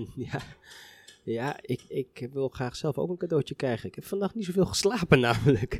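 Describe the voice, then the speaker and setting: An ordinary speaking voice from a man, fairly high in pitch, with lively intonation, a moderate pace and a dry, close sound with no echo. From Netherlands, Harderwijk (Veluwe). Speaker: orchestra musician. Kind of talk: casual chat. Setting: brasserie.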